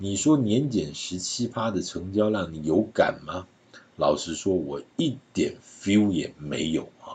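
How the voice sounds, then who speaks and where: A man's somewhat breathy, fairly low-pitched voice at a very slow pace, with lively intonation and big swings in loudness. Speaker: real estate podcast host. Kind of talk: solo podcast commentary. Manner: chatty, conversational with filler particles.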